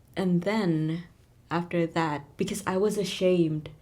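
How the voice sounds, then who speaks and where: Speaking at a fairly slow pace, a woman uses fairly low pitch, fairly even intonation and a dark, mellow tone. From Indonesia. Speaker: podcast co-host, student abroad. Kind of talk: casual chat.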